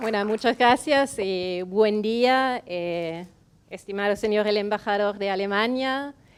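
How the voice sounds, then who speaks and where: Each word comes out very slowly, with pitch shifting by a normal amount. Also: woman, medium pitch for a woman. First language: German (speaking Spanish). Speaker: foundation representative. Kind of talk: welcome speech read from notes. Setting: event venue with audience.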